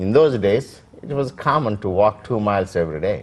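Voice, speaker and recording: The pace is moderate. This man's intonation moves in a lively way. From India, Andhra Pradesh (Krishna district village). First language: Telugu. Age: 60s. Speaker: immigrant interviewee. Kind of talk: oral history interview. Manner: halting, many fillers.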